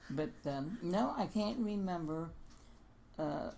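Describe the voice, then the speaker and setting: Someone with an American accent speaks very slowly in a dark, mellow tone with lively intonation. The room echo is audible. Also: woman. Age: 80s+. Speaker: former children's home resident. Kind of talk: oral history interview. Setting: recorded interview.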